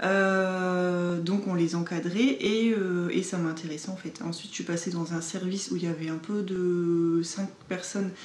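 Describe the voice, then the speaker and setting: Audible room echo surrounds a woman's fairly low voice. She speaks at a fairly slow pace with monotone, flat intonation and hardly any pauses. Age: 20s. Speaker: social worker. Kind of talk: documentary interview.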